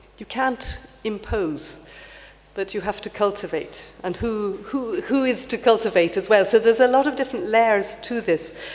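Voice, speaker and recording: A woman with an Irish accent speaks with ordinary pitch variation and big swings in loudness. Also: fairly high pitch for a woman, moderate pace. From Ireland. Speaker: heritage panel member. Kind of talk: panel discussion. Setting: conference stage with audience. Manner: halting.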